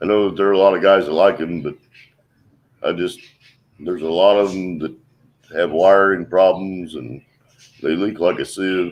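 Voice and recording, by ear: A man speaks at a low pitch with ordinary pitch variation. Long, frequent pauses break up his speech. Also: moderate pace.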